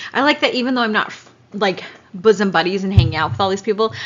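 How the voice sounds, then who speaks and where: A woman's medium-pitched voice with very wide pitch swings and noticeable background noise. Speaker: podcast co-host. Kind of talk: casual chat. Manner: loud.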